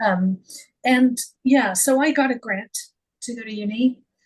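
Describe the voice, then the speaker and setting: A woman with a Canadian accent sounds somewhat breathy. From Canada. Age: 50s. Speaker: former editor and author. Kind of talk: podcast interview. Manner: halting.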